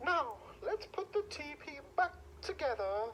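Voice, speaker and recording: A squeaky, high put-on character voice at a fairly slow pace, its pitch swinging very widely, over clear background noise. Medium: read story.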